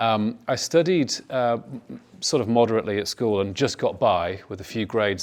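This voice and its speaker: A man with a northern English accent, fairly low in pitch, at a moderate pace, on a very clean recording with a silent background. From northern England. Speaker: health industry executive. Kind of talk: panel talk.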